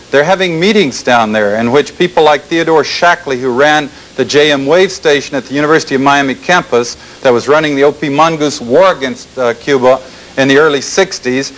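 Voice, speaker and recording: Against noticeable background noise, a man with an American accent speaks at a fairly high pitch with ordinary pitch variation. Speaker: former intelligence officer, public speaker. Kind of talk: public lecture. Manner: fast.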